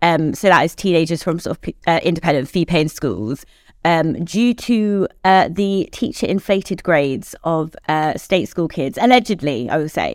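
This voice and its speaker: In a very clean recording with a silent background, a woman with a fairly low pitch speaks at a moderate pace with lively intonation. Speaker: higher education policy editor. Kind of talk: casual panel discussion. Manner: animated.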